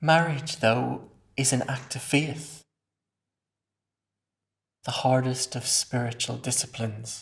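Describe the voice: In a put-on character voice with vocal fry and a slightly husky edge, the speaker moves at a slow pace with ordinary pitch variation and long, frequent pauses. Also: man, medium pitch for a man.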